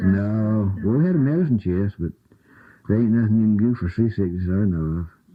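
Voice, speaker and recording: This man has an unremarkable speaking voice with an American accent. He talks at a fairly low pitch and a fairly quick pace with ordinary pitch variation. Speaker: former lightship crewman. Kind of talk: oral history interview answer. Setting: archival interview recording.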